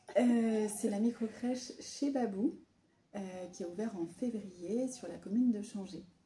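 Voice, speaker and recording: A woman's fairly high, dark, mellow and somewhat breathy voice at a fairly slow pace, with ordinary pitch variation and big swings in loudness. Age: 30s. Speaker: micro-nursery founder. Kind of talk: interview. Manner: hesitant, many fillers.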